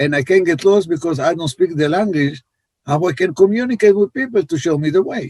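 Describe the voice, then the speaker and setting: In an Israeli accent, the speech moves at a fairly quick pace with ordinary pitch variation and a dry, close sound with no echo. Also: man, high pitch for a man. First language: Hebrew. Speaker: life coach. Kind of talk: podcast interview.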